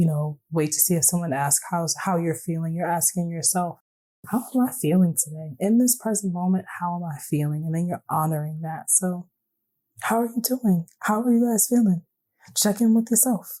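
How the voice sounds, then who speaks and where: Her voice has a dark, mellow tone and is somewhat breathy, a woman at a fairly low pitch speaking at a moderate pace with lively intonation. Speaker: podcast host. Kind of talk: reflective podcast monologue. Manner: casual, conversational.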